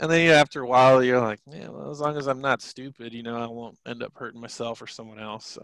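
With hardly any pauses, the speaker races at a very fast pace, showing ordinary pitch variation and big swings in loudness in a dry, close sound with no echo. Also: man, medium pitch for a man. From Guam. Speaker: Air Force aircraft maintenance supervisor. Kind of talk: casual interview chat.

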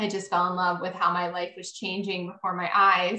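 At medium pitch, a woman's speech holds a moderate pace. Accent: American. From Maryland, US. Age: 30s. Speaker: life coach. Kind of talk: interview.

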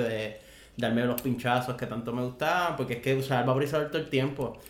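A man speaks with fairly even intonation. Audible room echo and noticeable background noise fill the recording. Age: 20s. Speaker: cannabis patient and podcast guest. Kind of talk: casual chat.

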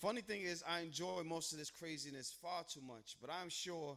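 The man's voice is high. His tone is intense and dramatic. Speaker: spoken word poet, co-host. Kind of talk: spoken word poetry performance. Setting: open mic night with live audience. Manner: intense, rhythmic, dramatic cadence.

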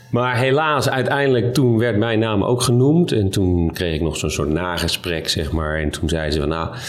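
A man talks with lively intonation over noticeable background noise, with audible echo from the room. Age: 40s. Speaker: hospital doctor. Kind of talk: casual chat. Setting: restaurant.

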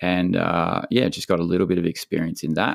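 With an Australian accent, a man speaks in a very deep, low pitch marked by vocal fry. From Victoria, Australia. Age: 40s. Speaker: big wave surfer and breath-hold coach. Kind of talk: casual interview chat.

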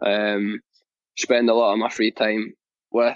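Here a man speaks in a Scottish accent. His intonation is monotone and flat. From Scotland. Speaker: professional soccer player. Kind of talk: interview. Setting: live interview.

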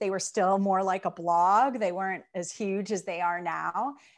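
A woman's unremarkable speaking voice with an American accent, medium pitch, ordinary pitch variation and a fairly slow pace, on a very clean recording with a silent background. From Chicago, US Midwest. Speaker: aromatherapy educator and entrepreneur. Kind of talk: interview. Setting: home video studio.

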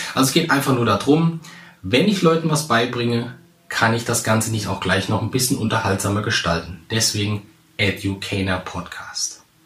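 Noticeable background noise sits behind a man's voice. He speaks at a moderate pace with medium pitch and lively intonation. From central Hesse, Germany. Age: 30s. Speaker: podcast host, public speaking coach. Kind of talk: solo podcast introduction.

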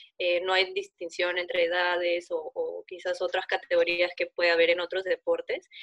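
A woman talks with hardly any pauses. The sound is dry and close, without echo. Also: moderate pace. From Peru. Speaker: competitive sport climber. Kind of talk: interview.

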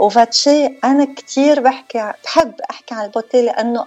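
With music in the background, a woman speaks high in pitch at a fairly slow pace. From northern Lebanon. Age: 50s. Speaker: beautician and former media personality. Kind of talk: interview.

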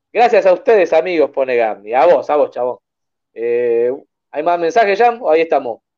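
A man with a Rioplatense accent speaks at a moderate pace in a dark, mellow tone, his fairly high pitch swinging very widely against a quiet background. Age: 40s. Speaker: horror film podcast host. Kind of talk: casual chat.

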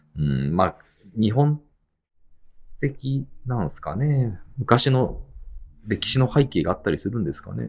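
A man's somewhat breathy, medium-pitched voice with very wide pitch swings, a fairly slow pace and long, frequent pauses. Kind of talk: casual chat.

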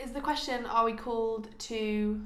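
Fairly even intonation at a moderate pace, with noticeable background noise and audible room echo. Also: woman. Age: 20s. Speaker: podcast co-host, medical student. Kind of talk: casual chat.

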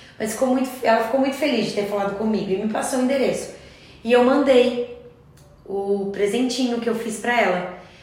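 Amid noticeable background noise and audible room echo, a woman with a fairly high pitch speaks at a fairly quick pace with fairly even intonation. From Curitiba, Brazil. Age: 30s. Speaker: crochet teacher. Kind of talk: casual chat.

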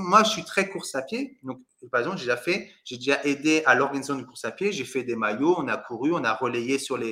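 A man talks at a very fast pace with lively intonation. His tone is bright and sharp. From Paris suburbs, France. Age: 40s. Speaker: real estate adviser and coach. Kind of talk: interview.

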